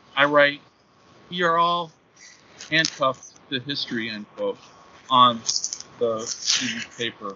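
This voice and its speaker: In an American accent, the speaker moves at a fairly slow pace with long, frequent pauses and ordinary pitch variation over noticeable background noise. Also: man, fairly high pitch for a man. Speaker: professor and writer. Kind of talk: casual interview chat.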